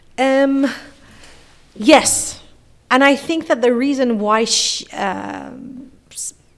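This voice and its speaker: A woman with a Persian accent, high-pitched, at a very slow pace with long, frequent pauses, fairly even intonation and big swings in loudness. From Iran. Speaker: philosopher and professor. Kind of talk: podcast interview.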